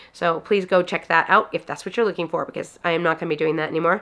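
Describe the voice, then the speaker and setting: Fairly even intonation over a quiet background. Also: woman. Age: 40s. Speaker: weight loss vlogger. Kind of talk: casual vlog talk. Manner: unmasked natural speaking voice.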